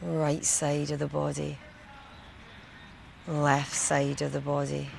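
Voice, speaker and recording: With a Scottish accent and a gentle tone, a woman with a very deep, low pitch speaks at a very slow pace, her pitch swinging very widely over noticeable background noise. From Scotland. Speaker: meditation guide, retreat host. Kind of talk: guided body scan meditation. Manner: slow, gentle, soft-spoken.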